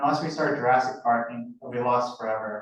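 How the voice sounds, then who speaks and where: A man talks in an American accent at a medium pitch. His pace is moderate. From US Pacific Northwest, Seattle. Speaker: graduate student. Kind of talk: student presentation.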